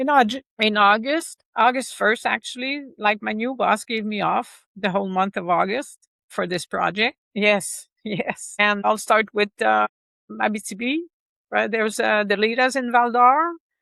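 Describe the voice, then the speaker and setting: Fairly slow in pace, a woman speaks with a Quebec accent. Her voice is fairly high-pitched. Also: ordinary pitch variation. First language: French. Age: 60s. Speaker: motorcycle rider and author. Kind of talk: interview. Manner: halting.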